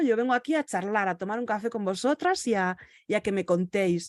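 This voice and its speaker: A woman speaks at a fairly quick pace in a fairly high pitch, her intonation lively and the sound dry and close with no echo. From Galicia, Spain. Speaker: virtual assistant and podcaster. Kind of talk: interview. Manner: halting, with many fillers.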